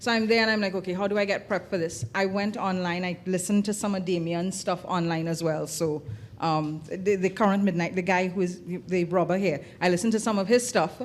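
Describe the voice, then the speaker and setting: Speaking at a fairly quick pace, a woman keeps her medium pitch in fairly even intonation. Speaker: writer. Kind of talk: panel discussion. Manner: fast.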